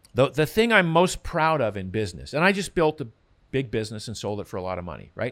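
Speaking at a fairly quick pace, a man with a medium pitch swings his voice very widely, in a very clean recording with a silent background. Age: 60s. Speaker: health author and former endurance runner. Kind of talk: casual interview.

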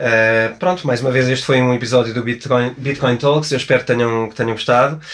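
A man's medium-pitched voice with a European Portuguese accent, fairly quick and nearly pause-free, with fairly even intonation. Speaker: podcast host and author. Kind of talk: podcast intro; interview.

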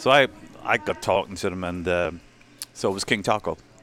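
A man with a very deep, low voice and an Irish accent. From Ireland. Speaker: sponsorship and marketing executive. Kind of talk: casual chat.

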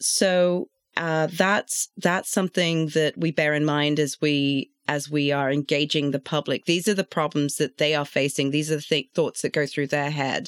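Speaking with a London accent, a woman uses a very deep, low pitch, a fairly slow pace, fairly even intonation and very even loudness, in a dry, close sound with no echo on a very clean recording with a silent background. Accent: British (London). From London, England. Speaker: traffic and safety engineer. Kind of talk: casual professional discussion.

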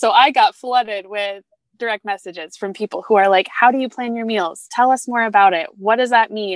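Using an ordinary speaking voice, a woman with an American accent talks at a moderate pace with a fairly high pitch and ordinary pitch variation, the sound dry and close with no echo. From Michigan, US Midwest. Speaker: meal planning entrepreneur. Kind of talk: casual interview chat.

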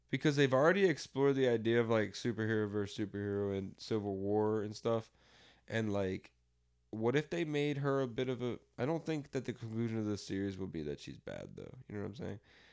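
The recording is very clean, with a silent background. A man speaks at a medium pitch and fairly quick pace with ordinary pitch variation. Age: 20s. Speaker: podcast co-host. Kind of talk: casual chat. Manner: animated.

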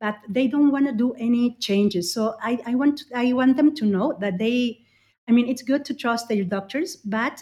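A woman's fairly high-pitched voice with a dark, mellow tone, ordinary pitch variation and a Spanish accent, in a very clean recording with a silent background. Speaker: ophthalmologist. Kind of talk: interview. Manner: halting, many fillers.

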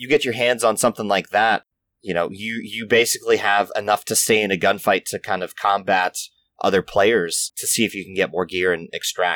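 Speaking fairly quickly with an American accent, a man with an ordinary speaking voice and fairly low pitch is heard dry and close with no echo, on a very clean recording with a silent background. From US, Maryland (near Baltimore). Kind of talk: casual interview chat.

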